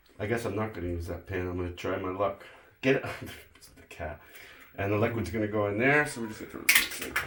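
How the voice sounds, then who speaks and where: A very fast pace with ordinary pitch variation and big swings in loudness, amid noticeable background noise and audible room echo. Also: man, fairly low pitch for a man. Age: 50s. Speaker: home cook. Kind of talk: cooking tutorial. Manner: casual, halting.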